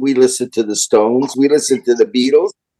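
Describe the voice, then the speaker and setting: Dark and mellow in tone, a man with a fairly high pitch talks fairly quickly and with lively intonation, the sound dry and close with no echo. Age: 70s. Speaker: rock drummer. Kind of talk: interview.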